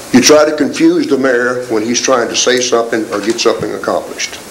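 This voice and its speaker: A man keeps a moderate pace amid noticeable background noise, his voice carrying audible room echo. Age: 70s. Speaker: military retiree speaking at council meeting. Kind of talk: public comment speech. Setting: city council meeting. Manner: animated.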